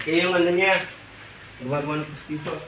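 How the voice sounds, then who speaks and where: Against noticeable background noise and audible room echo, a man talks at a fairly quick pace. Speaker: vlogger. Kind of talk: casual vlog narration. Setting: outdoors by a river.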